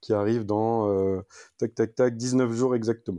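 Against a quiet background, a man's fairly low voice has a dark, mellow tone and fairly even intonation, with a dry, close sound and no echo. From Paris region, France. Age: 40s. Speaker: amateur trail runner. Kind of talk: casual interview. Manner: hesitant, many fillers.

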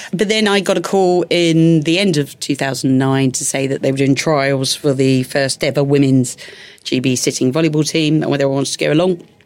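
In a Cockney accent, the voice moves at a fairly quick pace with ordinary pitch variation and very even loudness over noticeable background noise. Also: woman, very deep, low pitch for a woman. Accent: London Cockney. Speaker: Paralympic athlete and bombing survivor. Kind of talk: interview testimony.

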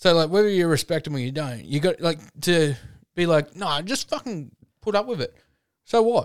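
Long, frequent pauses break up the speech of a man with an Australian accent. His voice is high-pitched, with lively intonation. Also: moderate pace. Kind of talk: casual banter. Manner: loud, joking, swearing.

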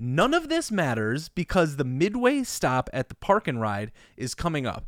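Lively intonation carries an ordinary speaking voice at a moderate pace. The recording is very clean with a silent background. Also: man. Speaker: podcast co-host. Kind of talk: casual comedic chat. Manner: joking, playful.

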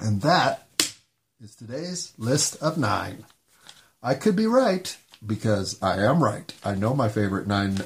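A somewhat breathy man with an American accent speaks at medium pitch and a fairly slow pace, using very wide pitch swings, big swings in loudness, and long, frequent pauses. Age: 50s. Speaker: solo podcaster. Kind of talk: solo monologue. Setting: home bedroom recording.

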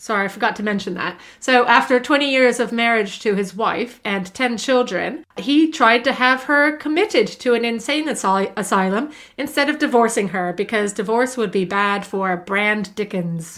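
With a British accent, a woman at a fairly high pitch speaks with lively intonation at a moderate pace and hardly any pauses, on a very clean recording with a silent background. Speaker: podcast co-host. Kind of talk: casual chat. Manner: light-hearted, laughing.

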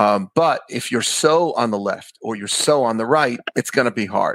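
With a New York accent, this man talks at a medium pitch and with ordinary pitch variation. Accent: New York American. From Queens, New York. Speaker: rabbi, podcast host. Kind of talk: casual interview chat.

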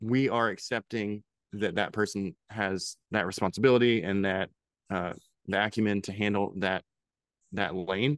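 A man's fairly low voice with ordinary pitch variation, dry and close with no echo. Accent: American. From Pennsylvania. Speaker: head brewer. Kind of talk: casual interview.

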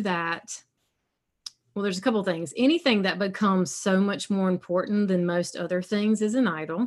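The recording is very clean with a silent background, as a woman speaks at a moderate pace in a medium pitch. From South Carolina, US South. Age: 40s. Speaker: alcohol-free coach and podcast host. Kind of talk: casual interview, testimony.

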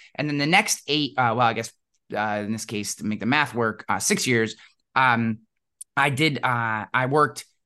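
A man speaks with an American accent at a medium pitch. His tone is bright and sharp against a quiet background. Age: 40s. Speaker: insurance agency CEO. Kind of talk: interview. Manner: casual with many fillers.

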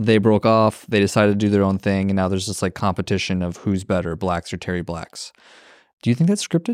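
Over a silent background in a very clean recording, a man with an ordinary speaking voice talks at a fairly quick pace in a fairly low pitch with ordinary pitch variation. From Minnesota. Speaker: community builder and content creator. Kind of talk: casual chat.

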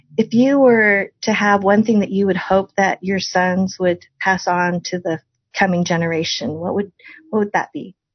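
Somewhat breathy, a woman speaks at medium pitch and a moderate pace. Her pitch varies in an ordinary way. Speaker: podcast host. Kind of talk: casual interview.

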